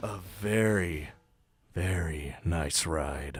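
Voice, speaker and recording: Putting on a character voice, a man speaks in a raspy, very deep, low register with audible echo. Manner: very deliberate, slow.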